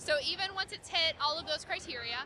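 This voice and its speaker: A woman is speaking. Her voice is raised and projected. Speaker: marketing lead for an indie game subscription company. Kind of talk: interview. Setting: gaming convention floor. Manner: fast.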